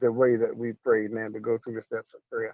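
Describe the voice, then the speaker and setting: A man with an American accent speaks at a medium pitch, the sound dry and close with no echo. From North Carolina.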